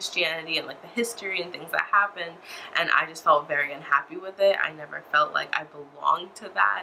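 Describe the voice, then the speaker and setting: Noticeable background noise sits under a woman's fairly low voice, spoken with an American accent. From United States. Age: 20s. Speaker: religious convert vlogger. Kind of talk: personal testimony. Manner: hesitant, many fillers.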